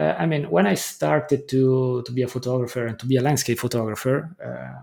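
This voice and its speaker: A man with an Italian accent speaks in a dark, mellow tone at a moderate pace, with ordinary pitch variation. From northern Italy. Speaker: landscape photographer. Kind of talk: interview. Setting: remote call. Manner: halting.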